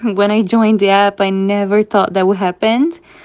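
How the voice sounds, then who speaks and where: A woman speaks with a Portuguese accent. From Brazil. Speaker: social media influencer and live streamer. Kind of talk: interview.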